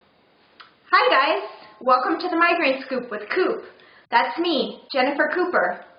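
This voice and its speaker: A woman speaks at a high pitch and a very slow pace with lively intonation. Audible room echo hangs around her voice. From third culture kid: England, California, Netherlands. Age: 30s. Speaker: vlogger with chronic migraine. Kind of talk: personal video blog.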